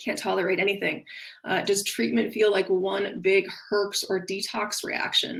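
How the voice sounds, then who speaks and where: A woman's medium-pitched voice with vocal fry and ordinary pitch variation. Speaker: functional nutrition practitioner. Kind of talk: webinar presentation. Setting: online webinar with screen share. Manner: fast.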